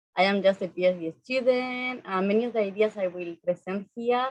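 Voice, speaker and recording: A woman speaks with a strong non-native accent. Her pitch is medium, with ordinary variation, at a moderate pace. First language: not English. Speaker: PhD student, panelist. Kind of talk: academic presentation. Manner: some halting and self-corrections.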